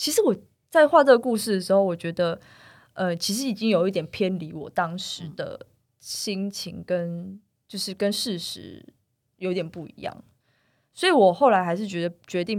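On a very clean recording with a silent background, a woman speaks at a moderate pace with big swings in loudness. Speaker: comic artist. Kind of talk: interview.

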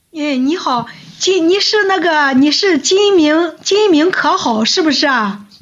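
A woman's extremely high, lively voice at a very slow pace, with very even loudness, audible room echo and noticeable background noise. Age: old. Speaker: livestreamer. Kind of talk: casual chat.

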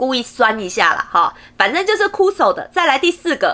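Raised and projected, a woman's voice carries a bright, sharp tone and very wide pitch swings. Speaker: podcast host. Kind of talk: casual solo podcast talk.

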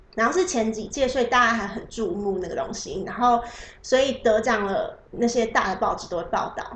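With audible room echo and noticeable background noise, a woman speaks at a fairly high pitch. Her pace is fairly quick and her intonation lively. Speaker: photographer. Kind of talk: casual interview. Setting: host's home. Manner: soft-spoken.

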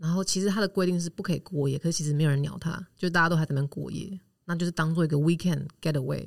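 Hardly any pauses break up speech delivered at a very fast pace. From Taiwan. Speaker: expat living in Germany. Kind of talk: interview.

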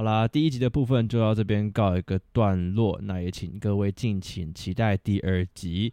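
A man with a Taiwanese accent speaks at a fairly low pitch and a moderate pace, with ordinary pitch variation and hardly any pauses. His tone is dark and mellow, and the sound is dry and close with no echo over a quiet background. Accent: Taiwanese Mandarin accent in English. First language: Mandarin Chinese. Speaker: podcast host. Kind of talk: interview. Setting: borrowed venue.

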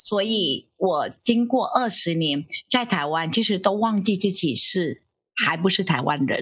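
The speaker has a Vietnamese accent and a lively intonation at a fairly slow pace. The background is quiet. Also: woman, medium pitch for a woman. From Vietnam, Ho Chi Minh City. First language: Vietnamese (speaking Chinese). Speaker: professor. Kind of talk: interview.

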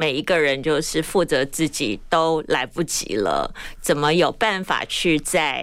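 A woman speaks with a very deep, low pitch at a very slow pace. Her intonation is lively. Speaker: fashion influencer, breast cancer survivor. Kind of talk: interview.

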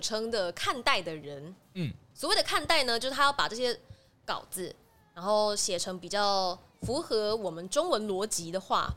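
Spoken at a moderate pace with lively intonation, the bright, sharp voice comes through on a very clean recording against a silent background. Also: woman. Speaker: voice actress. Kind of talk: interview.

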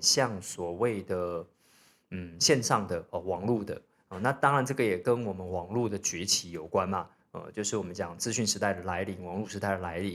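This man has a plain, everyday voice, fairly low in pitch with ordinary pitch variation, at a moderate pace. The recording is very clean, and the background is silent. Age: 40s. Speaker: podcast host, real estate investor. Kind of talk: solo podcast talk. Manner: casual, many fillers.

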